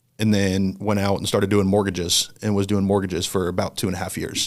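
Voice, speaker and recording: Speaking fairly quickly in a flat, monotone delivery, a man with a Midwestern American accent has a fairly low voice. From Indiana (central, near Anderson). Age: 20s. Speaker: ministry worker with student athletes. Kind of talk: interview conversation.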